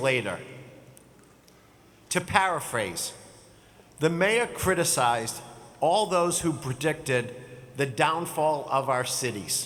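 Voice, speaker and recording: Amid audible room echo, a man with a fairly high pitch speaks at a very slow pace with lively intonation. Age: 60s. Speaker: commencement speaker, business executive. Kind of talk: commencement speech. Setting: stage with audience.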